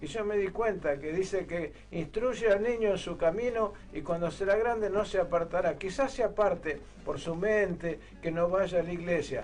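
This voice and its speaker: The man talks at a moderate pace. His high pitch shows ordinary variation. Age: 70s. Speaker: church program host. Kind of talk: religious testimony. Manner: halting.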